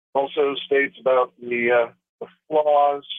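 A man speaks at a medium pitch. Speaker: caller. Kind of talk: reading aloud. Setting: phone call.

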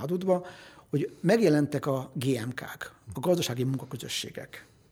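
Using an unremarkable speaking voice, a man speaks at a fairly high pitch with lively intonation. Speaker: economist. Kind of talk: interview. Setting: studio.

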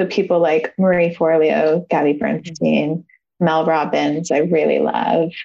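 Her voice very deep and low, a woman talks at a fairly slow pace in a dark, mellow tone with vocal fry, fairly even intonation and very even loudness. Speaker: yoga teacher and life coach. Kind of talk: interview. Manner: calm.

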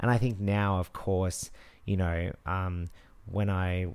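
A man with an Australian accent, very deep and low in pitch, monotone and flat, at a fairly slow pace in a very clean recording with a silent background. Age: 30s. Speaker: TV news presenter and podcast co-host. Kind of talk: casual chat. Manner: polished broadcaster delivery.

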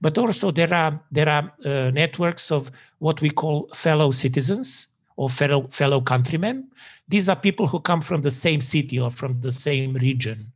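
Speaking with a Serbian accent, a man has a fairly high, somewhat breathy voice, a moderate pace and ordinary pitch variation, heard on a very clean recording with a silent background. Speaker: sociology professor. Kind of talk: academic interview.

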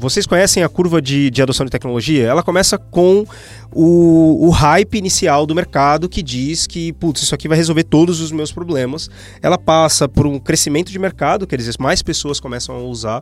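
Moderate pacing and ordinary pitch variation from a man, fairly high-pitched, in a plain, everyday voice. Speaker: podcast co-host, agile consultant. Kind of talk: casual panel discussion.

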